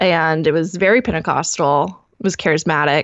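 A woman speaks fairly slowly in an ordinary speaking voice. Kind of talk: casual interview. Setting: remote call.

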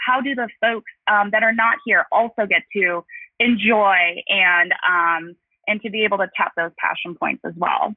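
A woman with a normal speaking voice uses medium pitch and fairly even intonation. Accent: American. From Los Angeles. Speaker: marketing executive. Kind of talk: interview. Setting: phone call.

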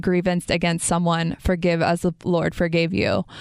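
The sound is dry and close, with no echo. A woman with a fairly low pitch speaks at a moderate pace. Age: 30s. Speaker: faith podcast host. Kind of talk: casual chat.

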